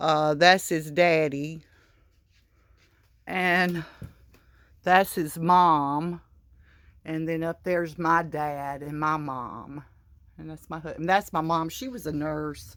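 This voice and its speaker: A woman in a Southern US accent with a very deep, low pitch, fairly even intonation, a very slow pace, long, frequent pauses, and a very clean recording with a silent background. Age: 60s. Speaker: crochet vlogger. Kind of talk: casual room tour. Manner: halting, many fillers.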